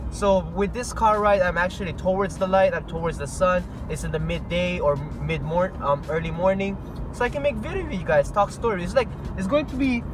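Clear music plays behind a man talking at a fairly quick pace, the sound dry with no echo. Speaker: vlogger. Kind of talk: casual vlog chat. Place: car. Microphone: earbuds.

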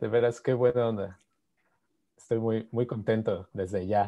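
Against a quiet background, a man with a Mexican accent talks at a fairly slow pace in a dark, mellow tone. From Mexico. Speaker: physicist giving a seminar; presenter. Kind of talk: lecture; seminar lecture. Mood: happy, warm greetings. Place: home room. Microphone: video call.

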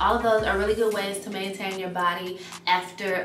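A woman's voice carries audible room echo, with faint music in the background. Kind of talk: casual vlog chat.

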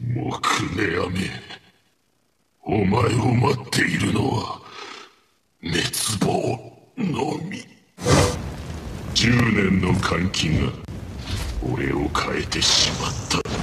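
With long, frequent pauses, a man puts on a character voice at medium pitch and speaks very slowly. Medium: dub.

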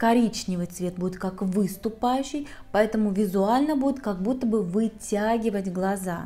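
Faint music plays behind a woman speaking. She keeps a moderate pace with ordinary pitch variation. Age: 40s. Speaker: makeup artist. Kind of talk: tutorial. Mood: calm, explanatory.

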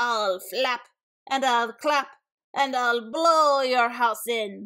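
Doing a shrill put-on character voice, a woman speaks at a high pitch and a very slow pace. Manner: screeching, threatening.

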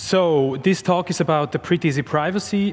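The speaker is a man. His intonation stays fairly even. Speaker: conference presenter. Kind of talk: lecture. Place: stage. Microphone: podium.

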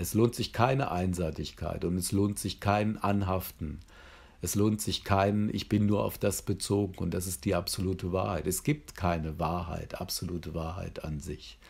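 A man with a very deep, low voice talks moderately fast, his pitch varying in an ordinary way. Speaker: psychotherapy trainer. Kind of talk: lecture. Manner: hesitant with filler sounds.

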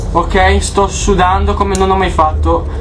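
A man talks at a very slow pace. Loud background noise sits behind him. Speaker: gamer. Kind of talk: let's play commentary. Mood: scared, excited, swearing. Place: home room.

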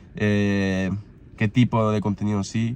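A man talks with a fairly low pitch and a slightly mellow tone.

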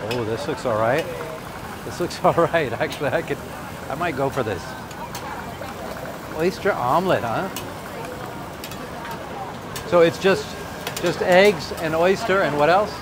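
The speaker goes at a moderate pace with lively intonation and long, frequent pauses. The sound is dry with no echo, but background noise is noticeable. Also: man. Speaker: travel vlogger. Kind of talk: casual vlog chat. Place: market. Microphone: phone near.

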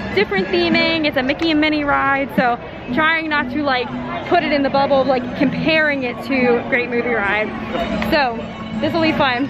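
A woman at a moderate pace with ordinary pitch variation, dry sound with no echo and clear music in the background. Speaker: vlogger. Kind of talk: casual vlog chat. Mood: nostalgic then excited. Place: street. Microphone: phone near.

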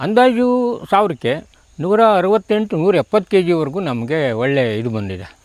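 Captured dry and close with no echo, a man speaks in a high voice with very wide pitch swings. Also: very clean recording, silent background. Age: old. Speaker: retired teacher and farmer. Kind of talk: interview.

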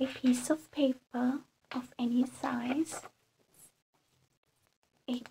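Soft-spoken and very slow, a woman talks over light background noise. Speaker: reiki practitioner. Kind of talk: ASMR guided ritual instructions. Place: home room. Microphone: phone near.

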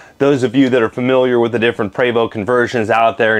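The background stays quiet as a man talks. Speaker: motorcoach salesman. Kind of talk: product tour presentation. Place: bus. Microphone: lapel.

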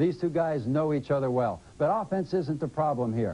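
At a moderate pace, a man speaks in a fairly high pitch with a dark, mellow tone and ordinary pitch variation. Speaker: color analyst. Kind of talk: commentary. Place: studio.

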